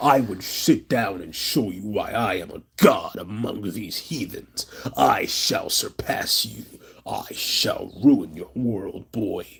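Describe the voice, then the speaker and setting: A man talks at a fairly slow pace in a put-on, raspy character voice. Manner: menacing, pompous.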